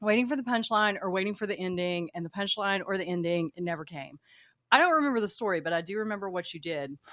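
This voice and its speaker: Talking at a very fast pace, a woman with an American accent uses lively intonation at a medium pitch, in a very clean recording with a silent background. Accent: Appalachian, stronger in the past. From Appalachia, southern West Virginia / eastern Kentucky. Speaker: military veteran. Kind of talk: casual chat.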